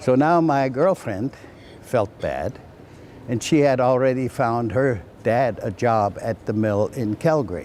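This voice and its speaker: The speaker has a German accent and ordinary pitch variation. The pace is fairly slow. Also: man, medium pitch for a man. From Germany. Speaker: retired flour miller. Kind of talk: personal reminiscence interview.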